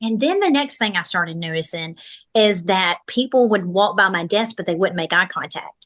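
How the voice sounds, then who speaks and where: A woman speaks loud and animated, her tone bright and sharp. Her pitch swings very widely. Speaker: military spouse and podcast host. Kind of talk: casual interview chat.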